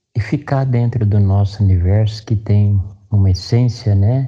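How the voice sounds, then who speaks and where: Against a quiet background, a man with a fairly low pitch and a dark, mellow, somewhat breathy tone speaks at a very slow pace with fairly even intonation. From Mato Grosso do Sul, Brazil (Dourados). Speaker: sertanejo singer. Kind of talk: interview.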